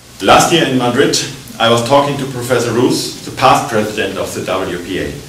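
Light background noise and audible room echo around a man talking at a moderate pace. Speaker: conference lecturer. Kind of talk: lecture. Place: hall. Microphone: podium.

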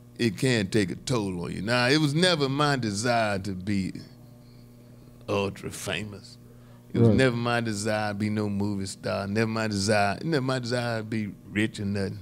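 Music plays behind a man whose fairly low voice moves at a moderate pace with ordinary pitch variation. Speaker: comedian podcast host. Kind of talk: panel discussion commentary. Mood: reflective, lightly humorous. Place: studio.

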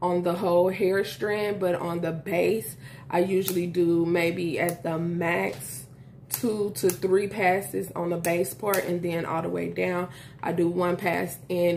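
Over light background noise, a woman with a normal speaking voice talks at a fairly slow pace, her fairly low pitch held in fairly even intonation. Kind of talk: tutorial. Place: home room.

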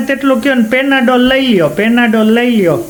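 A man's extremely high-pitched voice amid noticeable background noise and audible room echo. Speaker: family vlogger. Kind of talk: casual family vlog chat.

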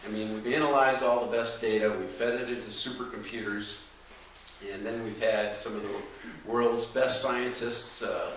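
Light background noise and audible room echo around a man talking at a moderate pace. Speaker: event host. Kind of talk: lecture introduction. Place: hall. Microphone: camera far.

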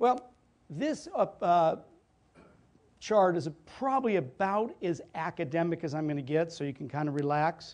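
Lively intonation in an American accent at a moderate pace, broken by long, frequent pauses. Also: man, high pitch for a man. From California. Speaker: keynote speaker. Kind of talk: keynote talk. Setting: stage with audience. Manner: animated. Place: meeting room.

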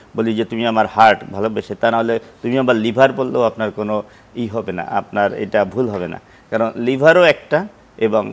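Ordinary pitch variation from a man at medium pitch. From Bangladesh. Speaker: professor of gastroenterology, physician; professor of gastroenterology. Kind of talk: live TV health interview. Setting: TV studio. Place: studio. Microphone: lapel.

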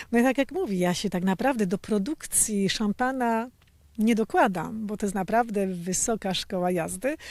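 At a moderate pace, a woman with a fairly high pitch and ordinary pitch variation talks in a plain, everyday voice. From Poland. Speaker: champagne house co-owner, former actress. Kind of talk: interview.

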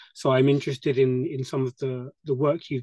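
In a British accent, the speaker has a dark, mellow tone and monotone, flat intonation, recorded dry with no echo against a quiet background. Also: man. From UK. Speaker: attendee asking questions. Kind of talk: Q&A discussion. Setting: video call. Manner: hesitant. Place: home room. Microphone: video call.

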